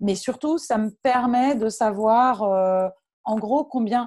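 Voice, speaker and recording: On a very clean recording with a silent background, a woman talks in a somewhat breathy voice at a fairly high pitch. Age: 30s. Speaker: freelance digital marketing consultant. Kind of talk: interview. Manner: halting, many repetitions.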